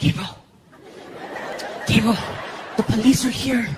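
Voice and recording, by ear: This put-on character voice sits at a fairly high pitch and moves at a moderate pace.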